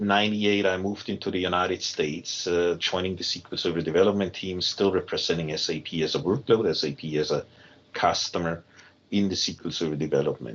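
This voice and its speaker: The speaker has a German accent and a fairly quick pace. Pitch variation is ordinary. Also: man. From Germany. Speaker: technology team lead. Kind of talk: podcast interview. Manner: halting, many fillers.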